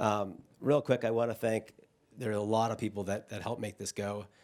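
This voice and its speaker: Fairly low-pitched man with an American accent on a very clean recording with a silent background. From Boston. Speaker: event co-founder. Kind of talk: opening remarks at conference. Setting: stage with audience. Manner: loud; halting.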